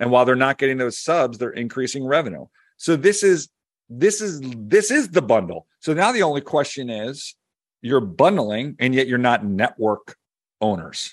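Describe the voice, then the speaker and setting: Against a quiet background, a man with a Philadelphia accent speaks at a moderate pace and medium pitch, his voice swinging very widely in pitch. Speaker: media and tech analyst, podcast co-host. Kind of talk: casual chat.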